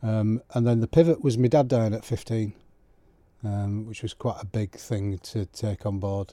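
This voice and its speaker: A man speaks with a Yorkshire accent at a fairly low pitch and ordinary pitch variation. The recording is very clean, with a silent background and a dry, close sound with no echo. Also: moderate pace. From West Yorkshire, England. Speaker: clergyman. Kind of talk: interview conversation. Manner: hesitant, many ums.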